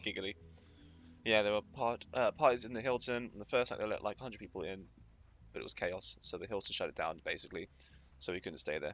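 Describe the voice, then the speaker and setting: With a British accent, a man talks at a very fast pace broken by long, frequent pauses. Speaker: Twitch streamer. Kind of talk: casual gameplay commentary.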